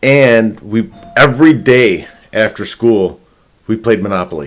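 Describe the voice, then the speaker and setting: Speaking in a Chicago accent, a man uses lively intonation at a medium pitch and a fairly slow pace. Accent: Chicago-area American. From northern Illinois, US Midwest. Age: 60s. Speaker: real estate agent. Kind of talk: casual interview chat.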